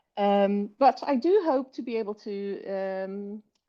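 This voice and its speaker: A woman talks at medium pitch with a British accent. Her intonation is lively. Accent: British accent, learned. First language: Dutch. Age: 30s. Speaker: writer and linguist. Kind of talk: interview. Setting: podcast. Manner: hesitant, many fillers.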